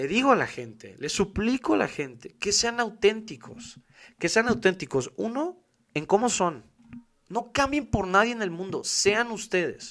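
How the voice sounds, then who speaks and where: Lively in intonation and high in pitch, a man with a Mexican accent speaks at a fairly slow pace. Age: 20s. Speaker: podcast host. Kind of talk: casual monologue. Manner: talkative.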